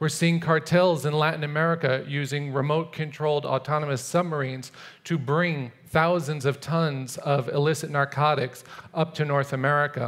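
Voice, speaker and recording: The background is quiet as a man speaks in a flat monotone. His loudness stays very even. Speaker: conference speaker. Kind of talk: prepared talk. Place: stage. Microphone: headset.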